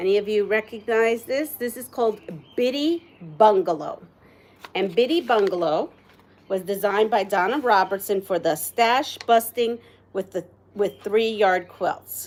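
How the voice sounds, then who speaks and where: A woman talks with a Puerto Rican accent. Her pace is fairly slow and her pitch varies in an ordinary way. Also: fairly high pitch for a woman. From Puerto Rico. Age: 60s. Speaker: quilter. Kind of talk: live stream tutorial. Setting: live stream. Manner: casual, chatty.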